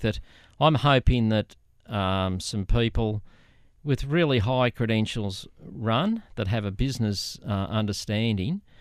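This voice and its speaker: A man speaks in a medium-pitched voice with an Australian accent. His pitch varies in an ordinary way, and his pace is fairly slow. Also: very clean recording, silent background. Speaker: former local councillor. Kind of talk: interview.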